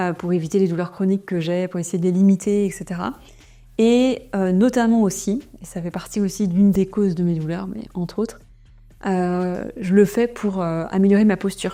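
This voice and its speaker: Music plays in the background. A woman speaks with fairly even intonation. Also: medium pitch for a woman. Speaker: entrepreneur and vlogger. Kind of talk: vlog. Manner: fast.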